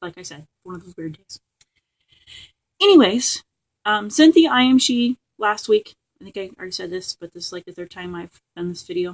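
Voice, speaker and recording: A woman speaks at a medium pitch and a moderate pace, with lively intonation and big swings in loudness. Long, frequent pauses break up her speech in a dry, close sound with no echo. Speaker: crafting and book vlogger. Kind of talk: casual vlog monologue. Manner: rambling with many fillers.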